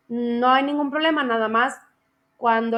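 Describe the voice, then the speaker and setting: A woman delivers her words at a moderate pace, her pitch moving in an ordinary way. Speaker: teacher. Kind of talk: online class session.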